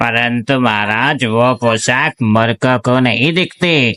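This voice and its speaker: In a cartoonish character voice, a man speaks at a very slow pace and a medium pitch, captured on a very clean recording against a silent background. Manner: flattering.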